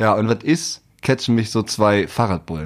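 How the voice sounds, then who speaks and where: The recording is very clean, with a silent background. On it, a man speaks. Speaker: podcast co-host. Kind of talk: casual chat. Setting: home recording.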